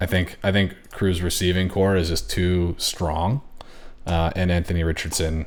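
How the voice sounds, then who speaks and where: A quiet man with a very deep, low pitch, at a moderate pace. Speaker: fantasy football league commissioner. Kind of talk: solo commentary on fantasy rankings.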